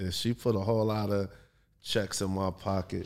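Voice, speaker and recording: A man's dark, mellow tone with a New York accent. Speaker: adult film performer. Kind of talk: casual chat.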